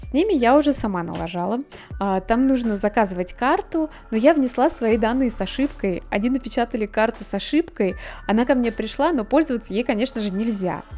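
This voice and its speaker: The voice has a dark, mellow tone and lively intonation, delivered at a fairly quick pace. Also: woman, fairly high pitch for a woman. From Russia. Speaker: art blogger. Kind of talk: casual vlog monologue.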